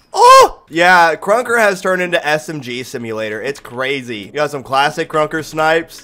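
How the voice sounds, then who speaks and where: A man's fairly high voice at a moderate pace, with lively intonation, big swings in loudness, hardly any pauses and music in the background. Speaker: gaming youtuber. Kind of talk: gameplay commentary. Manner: excited.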